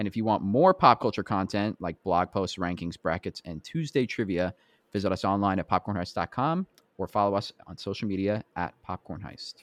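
Here a man with a plain, everyday voice speaks at a fairly low pitch with ordinary pitch variation. The sound is dry and close with no echo, over a quiet background. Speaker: podcast host. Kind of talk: casual chat.

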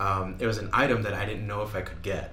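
A man speaks fairly quickly, noticeable background noise audible behind his words. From New Mexico. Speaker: podcast host. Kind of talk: casual interview; scripted intro and outro.

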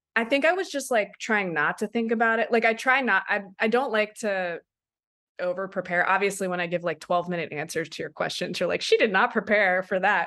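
Over a quiet background, a woman with an American accent speaks at a fairly quick pace and medium pitch, her tone bright and sharp, her pitch varying in an ordinary way. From Maryland, US (Silver Spring). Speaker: documentary director. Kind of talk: casual interview.

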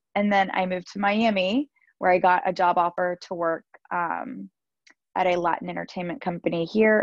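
A woman speaks in a normal speaking voice with an American accent and fairly even intonation. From US South, Georgia. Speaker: Pilates studio owner and former lawyer. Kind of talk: casual interview.

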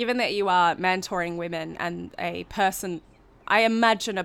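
On a very clean recording with a silent background, a woman talks at a fairly low pitch with ordinary pitch variation. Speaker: podcast host. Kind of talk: casual interview chat. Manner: talkative.

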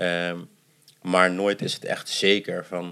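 Over a very clean recording with a silent background, a man talks in a very deep, low pitch with a bright, sharp tone and monotone, flat intonation. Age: 20s. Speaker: adoptee and theatre performer. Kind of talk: casual interview. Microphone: too far from the mic.

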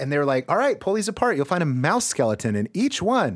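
Recorded very cleanly against a silent background, a man speaks fairly quickly in an animated tone. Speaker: comedy podcast co-host. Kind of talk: casual comedic banter, drinking show. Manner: animated, joking, excitable.

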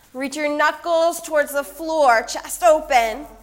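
Noticeable background noise behind a woman's voice with ordinary pitch variation. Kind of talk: guided yoga class instruction, cueing poses and breath. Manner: calm, soft, unhurried, soothing cues with pauses and filler ums.

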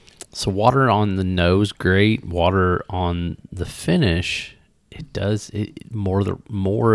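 Very deep and low, a man's voice in a Southern Indiana accent carries fairly even intonation. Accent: Southern Indiana twang. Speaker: podcast host, whiskey reviewer. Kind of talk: casual tasting chat.

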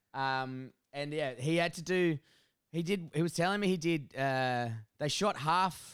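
A man speaks with an Australian accent, his voice fairly high and his pitch varying in an ordinary way. The recording is very clean, with a silent background. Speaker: podcast co-host. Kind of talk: casual chat. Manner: animated.

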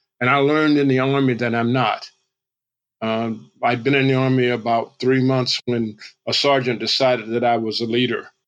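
In an American accent, a man speaks at medium pitch and a moderate pace. His intonation is monotone and flat, and his loudness stays very even. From US South, Georgia. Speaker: motivational speaker. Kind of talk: interview. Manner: halting.

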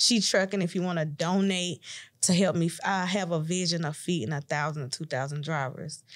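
A woman speaks at a moderate pace in an American accent. The recording is very clean, with a silent background. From Tennessee, US South. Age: 30s. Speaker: truck driver and business owner. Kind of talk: podcast interview. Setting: studio.

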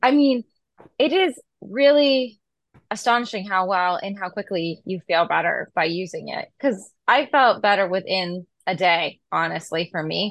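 With an American accent and an ordinary speaking voice, a woman at a medium pitch speaks at a fairly slow pace with lively intonation, in a dry, close sound with no echo and a quiet background. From Massachusetts, US. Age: 40s. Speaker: pharmacist. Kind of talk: casual interview.

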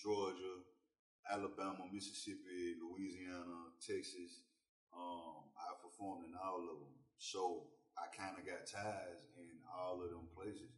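A man with a Southern US accent talks at a fairly slow pace in a very deep, low, somewhat breathy voice. His intonation stays fairly even while his loudness swings widely. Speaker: rapper. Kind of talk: casual chat. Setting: studio.

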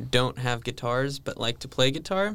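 The man's pace is moderate. His voice is at a medium pitch. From California. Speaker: seminarian. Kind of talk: casual chat.

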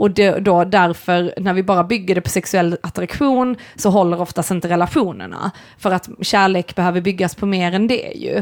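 A woman with a normal speaking voice, medium pitch, ordinary pitch variation and a moderate pace. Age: 30s. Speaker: podcast co-host and artist. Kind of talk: casual chat.

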